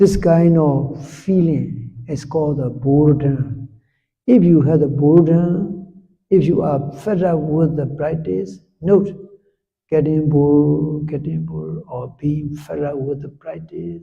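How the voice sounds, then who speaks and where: In a room with audible echo, a man with a somewhat breathy, fairly high voice speaks fairly slowly, with ordinary pitch variation and big swings in loudness. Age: 70s. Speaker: Buddhist monk and meditation teacher. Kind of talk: meditation instruction talk.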